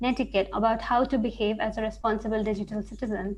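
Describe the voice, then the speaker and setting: The woman speaking has a fairly high pitch and a somewhat breathy voice. Her intonation stays fairly even. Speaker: research scientist giving a webinar. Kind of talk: webinar talk.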